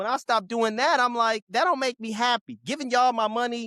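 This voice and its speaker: A man projects his raised voice at an extremely high pitch in a bright, sharp, animated tone. The sound is dry and close, with no echo. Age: 20s. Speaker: podcast co-host. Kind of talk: casual chat.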